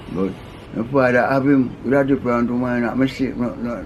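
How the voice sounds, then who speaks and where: Over noticeable background noise and audible room echo, a man with a Jamaican accent speaks at a fairly quick pace, his medium pitch kept to fairly even intonation. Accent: Jamaican Patois. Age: 80s+. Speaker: interviewee recounting life stories. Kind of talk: casual interview.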